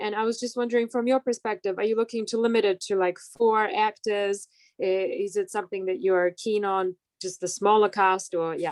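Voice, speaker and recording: A woman with a non-native accent at a moderate pace, fairly even intonation, and a dry, close sound with no echo. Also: medium pitch for a woman. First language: not English. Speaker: playwright. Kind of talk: Zoom Q&A question. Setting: video call.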